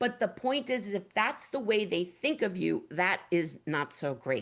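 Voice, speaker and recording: In a New York accent, a woman with vocal fry speaks at a fairly slow pace and medium pitch, her pitch swinging very widely while her loudness stays very even against a quiet background. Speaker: webinar host, print industry executive director. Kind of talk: presentation webinar. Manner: animated.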